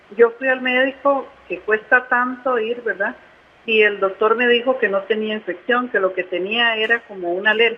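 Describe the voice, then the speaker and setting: With ordinary pitch variation, a plain, everyday voice proceeds at a moderate pace. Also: woman, fairly high pitch for a woman. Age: 60s. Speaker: caller. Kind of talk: call-in question.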